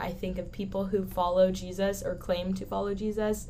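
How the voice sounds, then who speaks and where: An American accent at a moderate pace, with audible room echo. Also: woman. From Southern California. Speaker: college student. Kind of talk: casual chat. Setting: studio.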